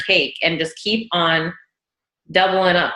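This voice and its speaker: A woman speaks at a fairly slow pace in a medium pitch. Her tone is animated, bright and sharp. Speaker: network marketing team leader. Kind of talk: team meeting talk on video call. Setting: video call.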